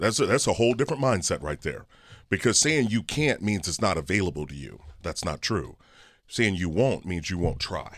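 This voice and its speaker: The recording is very clean, with a silent background. A man with vocal fry and a fairly low pitch talks at a fairly quick pace, making very wide pitch swings. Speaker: personal finance expert and author. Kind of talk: casual chat. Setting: studio. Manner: energetic.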